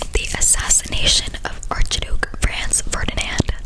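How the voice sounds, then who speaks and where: Over noticeable background noise, the speaker whispers very slowly. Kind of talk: ASMR trivia for sleep. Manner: whispered.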